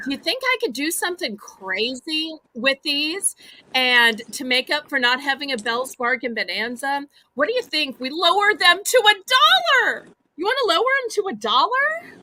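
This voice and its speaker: A woman with an American accent speaks at a moderate pace in a raised, projected voice with a bright, sharp tone and a high pitch. Her delivery is animated, with very wide pitch swings. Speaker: live online auction host. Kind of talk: live sales auction. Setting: livestream.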